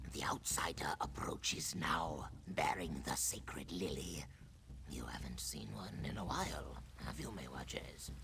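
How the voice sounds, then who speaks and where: Over loud background noise, a man whispers in a put-on character voice at a moderate pace. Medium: video game.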